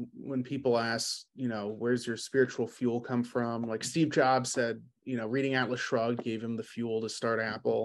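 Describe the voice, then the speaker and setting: With an American accent, a man talks in a normal speaking voice at medium pitch. He keeps a moderate pace against a quiet background. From New York City. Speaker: business owner. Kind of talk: casual chat.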